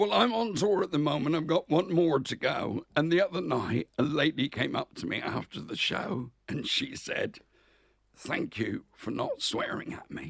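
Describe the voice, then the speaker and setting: With a West Country accent, a man speaks at a moderate pace in a fairly high pitch with very wide pitch swings. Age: 60s. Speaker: comedian. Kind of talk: casual chat.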